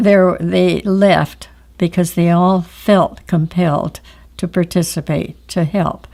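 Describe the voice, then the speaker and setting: This woman speaks in a Pacific Northwest accent at a very slow pace. Her pitch is fairly low and her intonation fairly even. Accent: Pacific Northwest American. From Oregon, USA. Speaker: war veteran. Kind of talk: interview answer.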